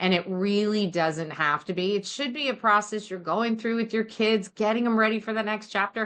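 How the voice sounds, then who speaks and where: A woman with an American accent and an ordinary speaking voice, fairly high in pitch, with ordinary pitch variation, a moderate pace and hardly any pauses. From New Jersey. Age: 60s. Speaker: college financial aid advisor, podcast co-host. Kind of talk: casual podcast chat.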